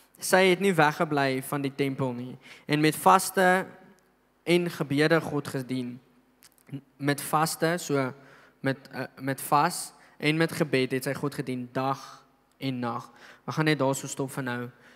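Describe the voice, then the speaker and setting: A man speaks with a fairly high pitch. The background is quiet. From South Africa. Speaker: pastor. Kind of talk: sermon. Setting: church. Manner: animated. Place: church. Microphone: handheld.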